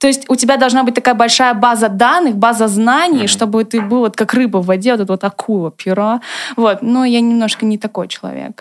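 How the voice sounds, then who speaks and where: This woman speaks at a very fast pace with a fairly high pitch. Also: ordinary pitch variation. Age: 20s. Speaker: former student comedy performer, designer. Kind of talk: casual chat.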